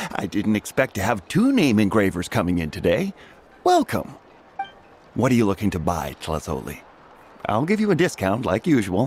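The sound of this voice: A man uses a put-on character voice with very wide pitch swings. His fairly low pitch has a slightly husky edge, at a moderate pace.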